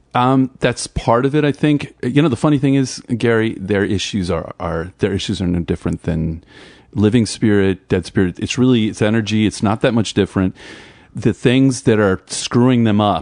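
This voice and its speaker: Recorded dry and close with no echo, a man speaks with an American accent at a moderate pace. He has a plain, everyday voice. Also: fairly low pitch for a man, ordinary pitch variation. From New Jersey. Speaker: musician and entrepreneur. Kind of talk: casual interview.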